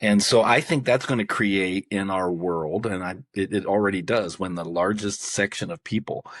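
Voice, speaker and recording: A man with a fairly low pitch speaks in a plain, everyday voice at a moderate pace, with ordinary pitch variation. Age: 60s. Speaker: author and personal growth coach. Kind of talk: podcast interview.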